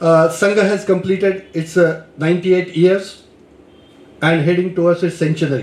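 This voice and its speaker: A man with a Marathi accent speaks at a high pitch and a moderate pace. His intonation is monotone and flat, and his loudness stays very even. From India, Maharashtra. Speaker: lecturer. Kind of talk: lecture. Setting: lecture hall with audience. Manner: hesitant, with fillers.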